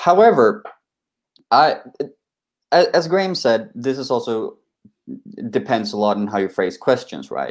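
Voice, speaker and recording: A man with a Swedish accent talks at a fairly slow pace. He leaves long, frequent pauses against a quiet background. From Sweden. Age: 20s. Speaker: republican society representative; panelist. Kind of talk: live online panel debate. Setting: video call. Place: home room. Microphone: video call.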